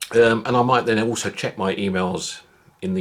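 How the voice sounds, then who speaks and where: A man's fairly low voice with a British accent, fairly quick and lively in intonation, over noticeable background noise. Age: 60s. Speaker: vlogger. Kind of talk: casual monologue.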